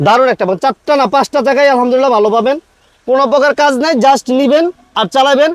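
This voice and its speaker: A man speaks at an extremely high pitch with ordinary pitch variation. His loudness stays very even, and the sound is dry and close with no echo. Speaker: used car dealer vlogger. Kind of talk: car sales video.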